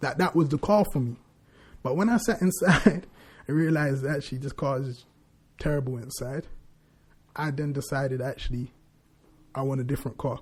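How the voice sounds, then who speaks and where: In a very clean recording with a silent background, a man with a London accent speaks at a fairly quick pace in a fairly high, somewhat breathy voice, with ordinary pitch variation and long, frequent pauses. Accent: London multicultural English. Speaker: podcast co-host. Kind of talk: casual chat.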